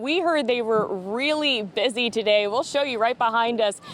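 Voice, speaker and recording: A woman speaks at a fairly high pitch with lively intonation over noticeable background noise. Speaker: television news reporter. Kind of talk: TV news reporting.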